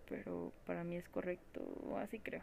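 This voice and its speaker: A woman with a Mexican accent at a moderate pace. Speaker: podcast host. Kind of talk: personal monologue. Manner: casual, slangy.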